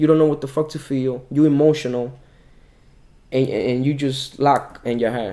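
A man's fairly high-pitched voice with a dark, mellow tone, at a moderate pace. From Dominican Republic. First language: Spanish. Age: 20s. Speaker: calisthenics athlete and personal trainer. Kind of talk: casual interview. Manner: animated.

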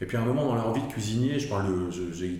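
With ordinary pitch variation, a man talks in a space with audible room echo and noticeable background noise. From Alsace, France. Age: 50s. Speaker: media and advertising professional. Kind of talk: interview. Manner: halting, with repetitions.

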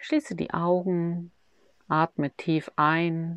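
The voice has a soothing, calm tone. The sound is dry and close with no echo, and the background is quiet. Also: woman. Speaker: meditation guide. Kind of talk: guided meditation. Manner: slow, soothing, calm and gentle, with long pauses.

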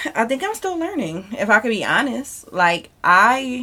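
A bright, sharp tone with very wide pitch swings at a fairly slow pace. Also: woman. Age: 30s. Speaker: podcast co-host. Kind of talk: casual chat.

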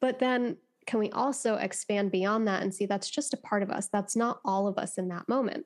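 In an American accent, a normal speaking voice moves at a moderate pace with ordinary pitch variation and very even loudness. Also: woman, medium pitch for a woman. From United States. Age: 20s. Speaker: life coach. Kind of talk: podcast interview. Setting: video call.

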